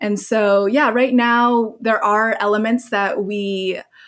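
On a very clean recording with a silent background, a woman speaks very slowly at a medium pitch with fairly even intonation. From Hong Kong. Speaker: movement facilitator and content creator. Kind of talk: casual interview conversation.

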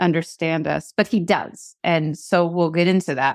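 This is a woman speaking. She has an American accent. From Seattle, US Pacific Northwest. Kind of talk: casual interview conversation. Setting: remote call. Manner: fast talker.

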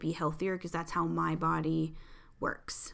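The woman's voice has a bright, sharp tone. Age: 40s. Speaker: podcast host and tarot reader. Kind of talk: casual solo monologue. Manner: chatty, frequent laughs.

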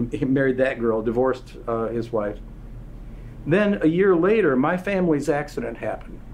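A man has an ordinary speaking voice and lively intonation. He keeps to a moderate pace. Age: 60s. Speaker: company founder. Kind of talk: interview. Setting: in-person at company headquarters.

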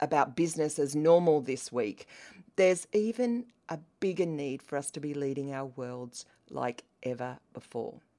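A woman's dark, mellow tone in an Australian accent, lively in intonation and moderate in pace, on a very clean recording with a silent background. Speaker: podcast host, business coach for women. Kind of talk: solo podcast monologue, partly reading an email aloud. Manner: passionate, emphatic.

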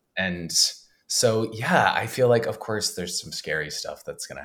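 A man speaks at a moderate pace. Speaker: podcast host, comedian. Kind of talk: casual chat.

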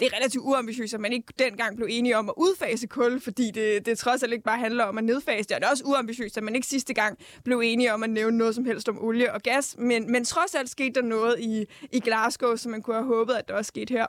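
On a very clean recording with a silent background, a woman talks at a very fast pace with hardly any pauses, her fairly high voice holding a fairly even intonation. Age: 20s. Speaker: UN youth delegate. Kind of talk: casual chat.

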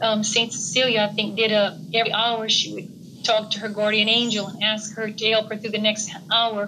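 At a moderate pace and with hardly any pauses, a woman with a fairly high voice speaks in a monotone, flat intonation over noticeable background noise. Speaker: participant. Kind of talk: sharing in group discussion.

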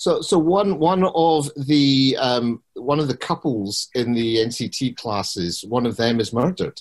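This man has an unremarkable speaking voice with a medium pitch. He talks at a fairly slow pace with lively intonation. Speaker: podcast host. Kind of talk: panel hosting.

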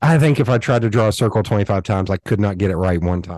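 A Southern US accent at a fairly quick pace with ordinary pitch variation, in a dry, close sound with no echo over a quiet background. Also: man. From US South. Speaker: designer and podcaster. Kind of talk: casual interview.

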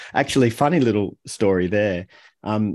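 In an Australian accent, a man with a fairly low pitch speaks at a moderate pace. The background is quiet. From Australia, Melbourne. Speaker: author and communication coach. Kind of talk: interview conversation.

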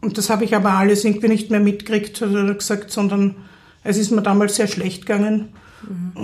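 At a moderate pace, a woman speaks with a dark, mellow, somewhat breathy tone, a medium pitch and monotone, flat intonation. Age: 30s. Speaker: psychiatric patient. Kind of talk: interview testimony. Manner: halting.

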